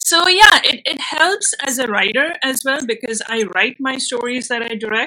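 A woman speaks in a raised, projected voice with an Indian accent, high-pitched for a woman. Her pace is moderate, with hardly any pauses. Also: lively intonation. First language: Bengali. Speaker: filmmaker and actress. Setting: video call.

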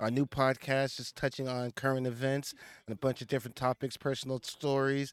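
Recorded very cleanly against a silent background, a man with an American accent speaks at medium pitch and moderate pace, the sound dry and close with no echo. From United States. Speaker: podcast co-host. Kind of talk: casual chat.

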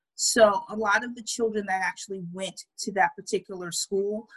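Somewhat breathy and medium in pitch, a woman speaks with a New York accent. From Brooklyn, New York. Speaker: administrator and community volunteer. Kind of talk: interview.

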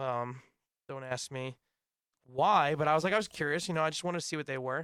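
A man speaks with a bright, sharp tone and a fairly high pitch. His pitch varies in an ordinary way on a very clean recording with a silent background. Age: 20s. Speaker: podcast host. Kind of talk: casual chat. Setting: studio.

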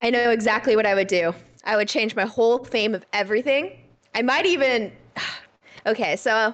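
Squeaky and fairly high-pitched, a woman talks at a fairly quick pace with long, frequent pauses, ordinary pitch variation and very even loudness. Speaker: podcast co-host. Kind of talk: casual chat. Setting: video call.

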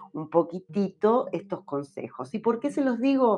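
At a fairly slow pace, a woman speaks at a medium pitch, her voice swinging very widely in pitch. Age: 50s. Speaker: podcast host. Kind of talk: solo podcast monologue.

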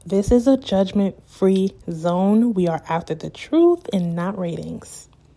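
A woman's medium-pitched voice with an American accent, dark and mellow in tone, at a very slow pace with hardly any pauses and ordinary pitch variation. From Brooklyn, New York, Jamaican family. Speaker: podcast host. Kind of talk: casual solo monologue. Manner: animated.

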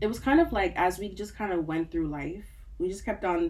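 A woman with an American accent and a plain, everyday voice talks at a moderate pace with ordinary pitch variation. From US, Nigerian-born. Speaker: mental health therapist. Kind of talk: casual chat.

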